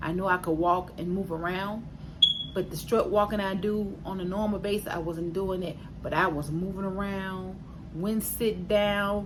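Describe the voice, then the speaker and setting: The voice is delivered with monotone, flat intonation. Audible room echo surrounds it. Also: woman, medium pitch for a woman, moderate pace. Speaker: vlogger sharing weight loss surgery journey. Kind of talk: casual vlog update. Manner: hesitant with fillers.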